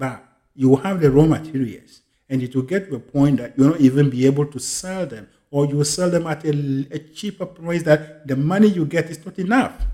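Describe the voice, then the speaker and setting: A man with a fairly high pitch and a dark, mellow tone. He speaks at a moderate pace, with ordinary pitch variation and big swings in loudness. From Ghana. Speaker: motivational speaker. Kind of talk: motivational monologue. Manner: emphatic.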